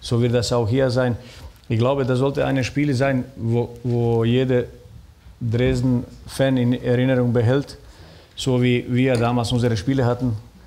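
This man speaks at a fairly slow pace in a monotone, flat intonation, his medium pitch and very even loudness never shifting. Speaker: former footballer and sporting director; talk show guest. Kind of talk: talk show discussion. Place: stage.

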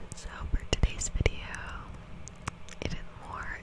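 The speech is whispered. Noticeable background noise sits behind it. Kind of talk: ASMR video addressed to viewers. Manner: whispered, soft-spoken.

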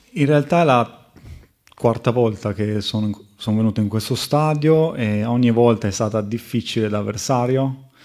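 A man talks at a fairly slow pace, his pitch in the medium range. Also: ordinary pitch variation, quiet background. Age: 20s. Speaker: professional footballer. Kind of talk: press conference. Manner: halting, with many fillers. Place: meeting room. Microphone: podium.

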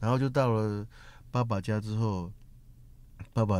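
A man speaks with a fairly low pitch and a dark, mellow tone. His pace is fairly slow, with ordinary pitch variation. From Taiwan. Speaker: Amerasian who found his father. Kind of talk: interview. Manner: halting, repeats words.

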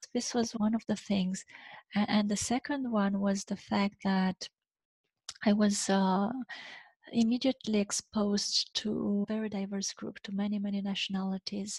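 In a Romanian accent, a somewhat breathy woman speaks with monotone, flat intonation. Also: fairly slow pace, quiet background, dry sound with no echo. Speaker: leadership coach. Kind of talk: interview. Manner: halting, frequent repeated words. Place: home room. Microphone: headset.

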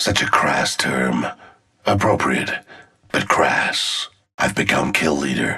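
In a put-on character voice, a man speaks slowly at an extremely low pitch with vocal fry, a husky, rough edge, a bright, sharp tone and lively intonation.

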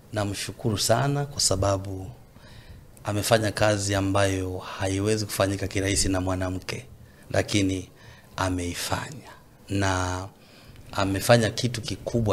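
A man's fairly low, somewhat breathy voice, fairly even in intonation, at a moderate pace. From Tanzania, Mbeya. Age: young. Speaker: gospel singer. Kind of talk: casual interview.

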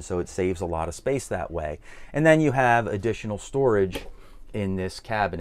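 A man's fairly low voice at a moderate pace. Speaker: RV reviewer. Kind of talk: walkthrough tour commentary.

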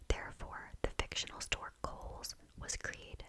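Over loud background noise, a soft-spoken woman whispers at a moderate pace. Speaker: video creator. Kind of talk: soft-spoken reading of Christmas facts. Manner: soft close-mic whisper. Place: home room. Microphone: studio mic.

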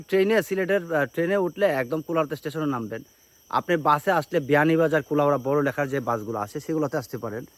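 A man's fairly high-pitched, normal speaking voice with lively intonation. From Habiganj, Sylhet region, Bangladesh. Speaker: travel vlogger. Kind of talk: casual travel vlog talk to camera. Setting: outdoors in hills.

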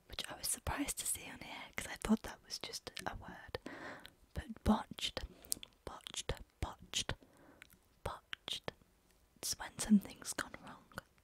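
A soft-spoken woman whispers at a fairly slow pace with long, frequent pauses and big swings in loudness, in a dry sound with no echo. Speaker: language teacher. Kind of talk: casual lesson explaining slang. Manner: soft close-mic ASMR whisper. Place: home room. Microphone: studio mic.

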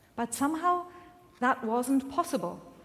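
Her pitch is high and swings very widely as the woman speaks at a fairly slow pace. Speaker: minister preaching. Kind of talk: sermon. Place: church.

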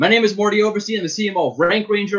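Energetic and very fast, a man speaks in a high pitch with a bright, sharp tone against a quiet background. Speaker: marketing executive, webinar presenter; webinar presenter. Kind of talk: webinar presentation. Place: home room. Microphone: webcam.

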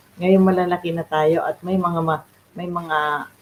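A flat, monotone delivery at a fairly slow pace, in a Filipino accent. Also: woman. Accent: Filipino (Tagalog). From Philippines. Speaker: beautician and faith livestreamer. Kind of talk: devotional livestream talk. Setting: livestream from home. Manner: halting, many fillers.

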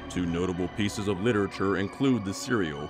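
A man is speaking. Music sounds in the background. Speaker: narrator. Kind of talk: documentary-style folklore narration.

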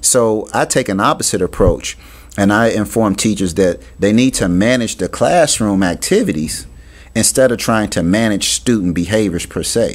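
A man speaks at a moderate pace with an American accent, his pitch fairly low for a man. His is an unremarkable speaking voice with ordinary pitch variation. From US Midwest, Cincinnati, Ohio. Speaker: author and education consultant. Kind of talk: radio interview.

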